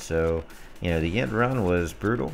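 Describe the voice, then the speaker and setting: With music in the background and audible room echo, a man speaks with lively intonation. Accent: American. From US South, North Alabama near Gadsden. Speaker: gaming streamer and clan leader. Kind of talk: live game commentary and chat.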